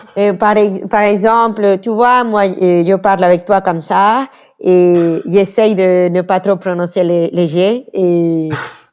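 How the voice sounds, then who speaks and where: A very slow pace with a slight Venezuelan accent, fairly even intonation and very even loudness. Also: woman, medium pitch for a woman. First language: Spanish (speaking French). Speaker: interview guest, communications worker. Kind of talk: casual interview chat. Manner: halting.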